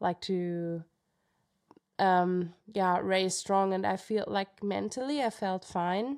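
With a German accent, a woman of medium pitch and ordinary pitch variation speaks at a fairly slow pace on a very clean recording with a silent background. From Germany, Munich. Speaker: professional trail runner. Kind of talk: interview.

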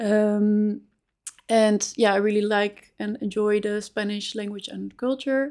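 A woman talks at a fairly slow pace in a fairly high pitch, her intonation monotone and flat. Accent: Dutch. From Netherlands, Amsterdam. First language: Dutch. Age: 20s. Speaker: recruiter. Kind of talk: interview.

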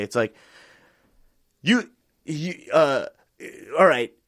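In a New York accent, a man with a fairly high pitch makes very wide pitch swings, captured as a dry, close sound with no echo on a very clean recording with a silent background. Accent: New York (Bronx). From US, family from the Bronx but grew up elsewhere. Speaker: guest explaining pro wrestling. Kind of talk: casual chat. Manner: animated, halting with fillers.

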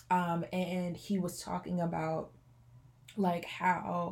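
Somewhat breathy, a woman at a medium pitch speaks in a dark, mellow tone. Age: 20s. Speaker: entrepreneur and college pastor. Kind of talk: casual chat.

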